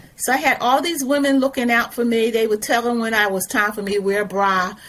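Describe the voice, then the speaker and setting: Through noticeable background noise, a woman with a fairly high pitch speaks at a fairly quick pace. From US, South Philadelphia. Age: 70s. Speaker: retired educator and activist. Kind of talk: interview conversation. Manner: halting, many fillers and restarts.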